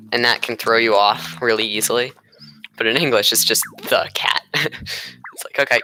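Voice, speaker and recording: With an American accent, the speaker leaves long, frequent pauses against noticeable background noise. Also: fairly quick pace. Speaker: gaming streamer. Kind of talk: casual gameplay commentary.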